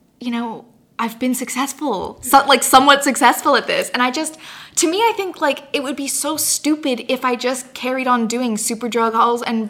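A woman speaks at a high pitch and moderate pace. Her pitch varies in an ordinary way, with noticeable background noise behind her. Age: 20s. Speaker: YouTuber and blogger. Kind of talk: casual chat. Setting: in person studio interview.

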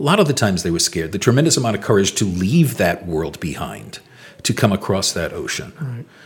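A man at a very fast pace, fairly low in pitch, with very wide pitch swings over noticeable background noise. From Rhode Island. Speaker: historical reenactor and historian. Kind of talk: interview storytelling.

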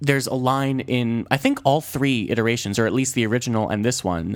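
This man has an unremarkable speaking voice, pitched in the medium range, with fairly even intonation. He talks at a moderate pace on a very clean recording with a silent background. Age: 20s. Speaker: solo movie podcast host. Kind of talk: casual solo movie review. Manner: many fillers and restarts.

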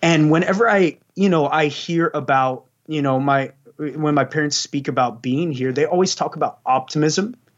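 Speaking with an American accent, a man with a fairly high pitch keeps a moderate pace and ordinary pitch variation. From Texas, San Antonio. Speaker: church youth leader. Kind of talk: casual interview. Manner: animated.

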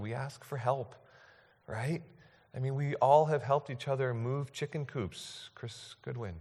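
In a very clean recording with a silent background, a man speaks at a medium pitch, his voice somewhat breathy with ordinary pitch variation. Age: 40s. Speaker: pastor. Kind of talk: sermon. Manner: halting.

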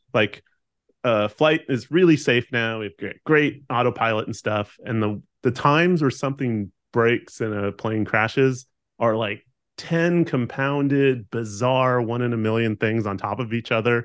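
The speaker is a man with a medium pitch. He talks at a fairly slow pace with ordinary pitch variation. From Southern California. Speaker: guest. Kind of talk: casual chat.

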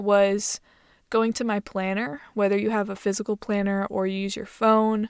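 A woman uses an ordinary speaking voice at medium pitch with fairly even intonation and a moderate pace. The recording is very clean, with a silent background. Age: 20s. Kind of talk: solo podcast monologue. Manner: casual, filler-heavy.

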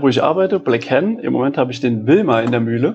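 A man talks at a medium pitch, his pitch varying in an ordinary way. Noticeable background noise sits behind his voice. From Saarland, Germany (Bliesgau). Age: 30s. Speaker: coffee roaster. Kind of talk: casual interview chat. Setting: his living room.

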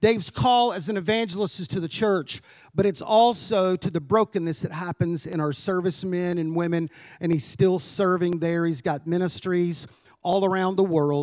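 Pitched high, a man's voice shows ordinary pitch variation as he talks at a moderate pace. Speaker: pastor. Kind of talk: church announcements and speaker introduction. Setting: church.

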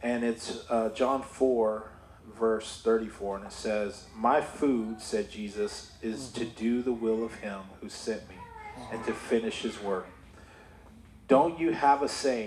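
A man speaks very slowly with fairly even intonation. His loudness swings widely. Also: medium pitch for a man. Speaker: church member sharing testimony. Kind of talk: testimony. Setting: church.

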